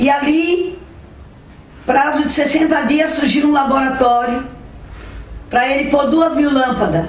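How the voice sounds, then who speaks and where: A woman speaks at a high pitch with ordinary variation and very even loudness, at a fairly slow pace with long, frequent pauses. Audible room echo and noticeable background noise surround her voice. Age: 70s. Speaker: mother telling her life story. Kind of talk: personal testimony.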